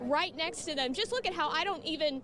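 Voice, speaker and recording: A woman speaks with an American accent at an extremely high pitch and lively intonation. Noticeable background noise runs behind her. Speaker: television news reporter. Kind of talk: TV news reporter live report. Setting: outdoors, live on location.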